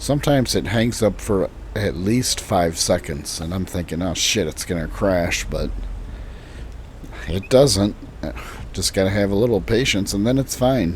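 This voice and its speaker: A man with an American accent, fairly low in pitch, with a relaxed tone, ordinary pitch variation, a moderate pace and long, frequent pauses, over noticeable background noise. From Illinois, US Midwest. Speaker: gaming streamer. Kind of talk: casual gameplay commentary. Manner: relaxed, casual.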